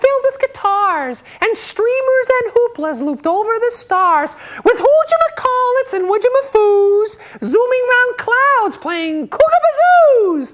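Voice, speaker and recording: A put-on character voice sits at an extremely high pitch. It goes at a fairly slow pace. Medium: read story.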